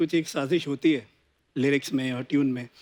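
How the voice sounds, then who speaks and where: His intonation is fairly even. The man keeps to a moderate speed. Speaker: singer. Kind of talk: casual chat.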